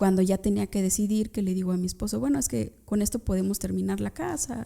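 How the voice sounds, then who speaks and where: A woman speaks at a moderate pace. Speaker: criminal lawyer, former public prosecutor. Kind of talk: interview.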